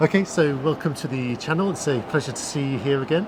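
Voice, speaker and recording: Noticeable background noise sits under a man who keeps a moderate pace. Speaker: YouTube host, former reporter. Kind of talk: interview questions to guest.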